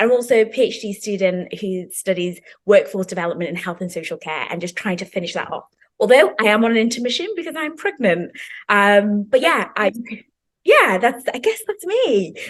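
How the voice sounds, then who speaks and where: Speaking at a fairly quick pace, a woman with a British accent uses a fairly high pitch and lively intonation. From Zimbabwe, then the UK. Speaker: PhD student and healthcare professional. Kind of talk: casual chat.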